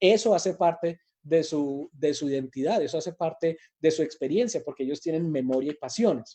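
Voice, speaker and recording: Moving at a moderate pace, a man speaks in a fairly high pitch with a dark, mellow tone. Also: ordinary pitch variation. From Colombia, Manizales and Pasto. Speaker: teacher trainer. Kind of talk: lecture.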